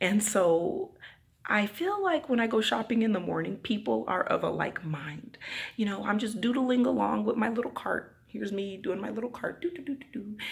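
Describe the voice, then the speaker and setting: With noticeable background noise behind her, a woman speaks at a moderate pace in an animated tone. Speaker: vlogger. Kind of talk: casual vlog talk. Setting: empty apartment. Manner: loud.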